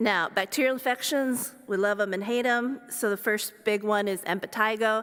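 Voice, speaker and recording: A woman with an American accent speaks at a moderate pace with ordinary pitch variation. Hers is an unremarkable speaking voice. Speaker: sports medicine physician. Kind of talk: lecture.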